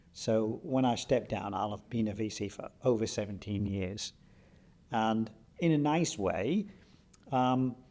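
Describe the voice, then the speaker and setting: At a fairly slow pace with long, frequent pauses, the voice has a dark, mellow tone and ordinary pitch variation. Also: man, medium pitch for a man. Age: 60s. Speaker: university vice-chancellor. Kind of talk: interview.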